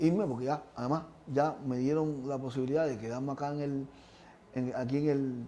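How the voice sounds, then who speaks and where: Delivered at a moderate pace, the voice has a dark, mellow tone and fairly even intonation. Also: man. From Cuba, Havana (Lawton). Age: 60s. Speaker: retired Paralympic athlete. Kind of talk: interview. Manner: halting, many repetitions.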